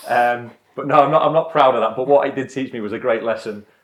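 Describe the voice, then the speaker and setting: Speaking very fast with a northern English accent, a man keeps his intonation fairly even. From northern England, Blackpool, Lancashire. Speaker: adventurer and former soldier. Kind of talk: interview. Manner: halting.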